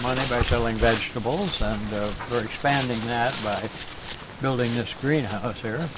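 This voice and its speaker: A man with an American accent, medium pitch and ordinary pitch variation, at a moderate pace, over noticeable background noise. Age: 80s+. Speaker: farmer. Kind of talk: interview answer.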